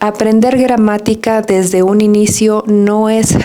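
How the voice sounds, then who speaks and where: Over noticeable background noise, a soft-spoken woman with a Mexican accent talks at a very slow pace in a medium pitch. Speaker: Spanish teacher. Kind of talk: podcast monologue.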